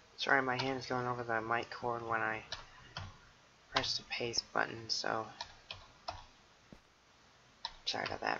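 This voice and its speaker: Long, frequent pauses break up the speech. Noticeable background noise runs underneath. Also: moderate pace. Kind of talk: casual gameplay commentary.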